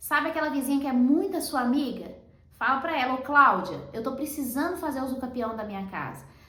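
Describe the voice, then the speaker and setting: A woman's high-pitched voice in a Brazilian accent, animated and fairly quick, with ordinary pitch variation and audible room echo. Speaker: real estate lawyer. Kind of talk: tutorial.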